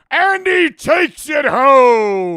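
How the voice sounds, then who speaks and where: This put-on character voice sits high and swings very widely in pitch. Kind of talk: professional broadcast.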